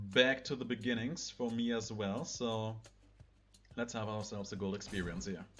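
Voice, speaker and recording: This man has a German accent and a medium pitch. He talks at a moderate pace with fairly even intonation and long, frequent pauses. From Germany. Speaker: gaming video creator. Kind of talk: let's play commentary. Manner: casual, somewhat halting non-native English.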